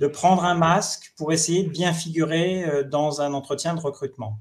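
His intonation stays fairly even. The man's voice is high-pitched. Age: 50s. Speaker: HR director and startup founder. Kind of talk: webinar panel discussion.

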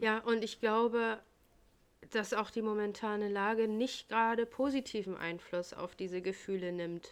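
A woman with a normal speaking voice talks at a moderate pace, her fairly high pitch held in fairly even intonation. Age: 30s. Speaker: podcast co-host, daycare worker. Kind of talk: casual chat.

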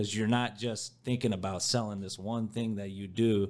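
A man with an American accent, fairly quick and monotone, with flat intonation. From rural US farmland area. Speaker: podcast host. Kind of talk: casual chat. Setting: rented podcast studio.

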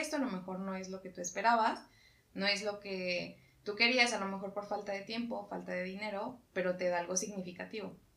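A fairly quick pace from a woman with a medium-pitched voice. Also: big swings in loudness. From Mexico. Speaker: podcast co-host. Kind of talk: casual chat.

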